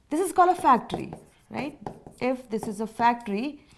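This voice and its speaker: A woman speaks with lively intonation. Her pitch sits fairly high. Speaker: teacher. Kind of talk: lecture. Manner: slow; repetitive, deliberate.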